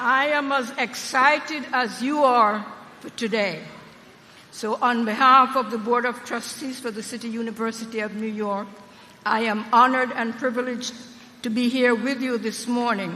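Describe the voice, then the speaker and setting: Noticeable noise sits in the background. The speech moves at a moderate pace. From Jamaica. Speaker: university trustee and former city council member. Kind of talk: commencement speech. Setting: stage with audience at graduation ceremony. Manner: animated.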